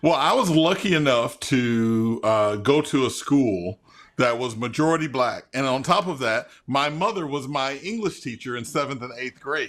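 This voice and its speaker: Lively in intonation, a man with an American accent speaks at medium pitch. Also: moderate pace, hardly any pauses. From US South, Memphis and northern Mississippi. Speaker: journalist and author. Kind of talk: interview. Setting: video call.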